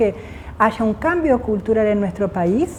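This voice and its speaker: The speaker is a woman. She has an Argentine accent. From Argentina, Jujuy. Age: 50s. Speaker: physicist. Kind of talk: interview.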